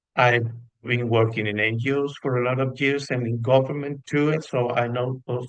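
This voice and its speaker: Speaking with a Spanish accent, a man keeps a fairly slow pace. His medium-pitched voice is monotone, with flat intonation. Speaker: psychologist, panel speaker. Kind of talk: panel discussion talk from notes. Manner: halting, many fillers.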